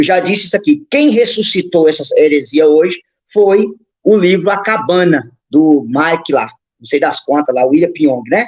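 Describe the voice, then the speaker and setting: This man speaks at a high pitch with very wide pitch swings while keeping his loudness very even. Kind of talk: teaching on a live stream. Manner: fast.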